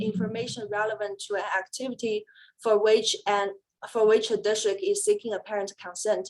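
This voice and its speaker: A fairly high-pitched woman's voice with a Chinese accent. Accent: Mandarin Chinese-accented English. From China. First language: Mandarin Chinese. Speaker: special education attorney. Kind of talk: webinar presentation. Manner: hesitant, with frequent fillers.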